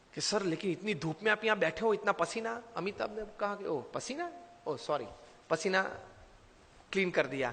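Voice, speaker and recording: A man speaks at a high pitch, stopping for long, frequent pauses. Noticeable background noise runs underneath. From India, Gujarat. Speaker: motivational speaker and spiritual leader. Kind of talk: motivational speech.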